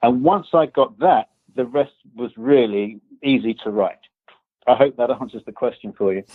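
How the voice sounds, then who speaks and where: A man in an English accent speaks at a moderate pace and medium pitch, leaving long, frequent pauses. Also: ordinary pitch variation. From England. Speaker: author and business consultant. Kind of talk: podcast interview.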